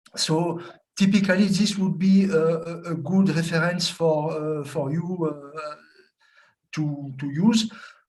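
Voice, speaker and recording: A man speaks at a fairly slow pace in a high pitch with fairly even intonation. Room echo is audible. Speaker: food safety expert. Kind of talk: webinar Q&A answer. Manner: halting, many fillers.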